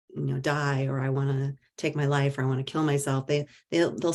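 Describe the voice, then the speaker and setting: A woman is speaking. She talks with a Midwestern US accent. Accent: US Midwest. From rural Iowa. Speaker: mental health advocate and author. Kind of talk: talk Q&A. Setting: presentation to audience.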